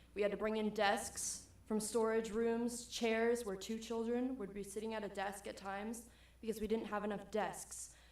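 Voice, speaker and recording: With an American accent, a woman speaks at a moderate pace in a fairly high pitch with monotone, flat intonation and audible room echo. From Miami, Florida. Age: young. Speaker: resident speaking at public comment. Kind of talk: public comment at city meeting. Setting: city planning commission meeting.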